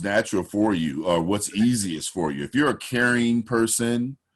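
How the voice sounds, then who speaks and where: Against a quiet background, a man speaks in a fairly low voice. His intonation is lively. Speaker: voiceover artist and coach. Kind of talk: interview.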